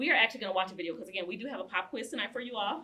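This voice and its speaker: This woman speaks very fast. She uses a medium pitch. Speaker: community group chair and facilitator. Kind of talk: panel discussion facilitation.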